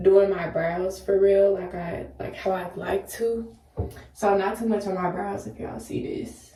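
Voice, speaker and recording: A woman speaks at a fairly slow pace. Noticeable background noise and audible room echo surround her. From US South, Memphis, Tennessee. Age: 20s. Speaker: beauty vlogger, student. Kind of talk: casual makeup tutorial and Q&A. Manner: casual, chatty.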